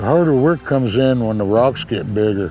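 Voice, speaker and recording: A man talks at a fairly slow pace and medium pitch. Music plays in the background. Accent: American. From Lapwai, Idaho. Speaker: fisheries worker and fishing elder. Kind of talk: interview answer. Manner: casual, folksy.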